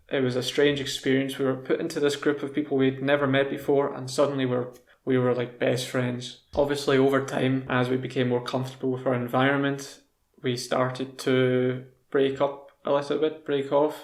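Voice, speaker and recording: A man speaks with a Scottish accent in a monotone, flat intonation. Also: medium pitch for a man, moderate pace. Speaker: English teacher. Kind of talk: casual talk to camera, language lesson.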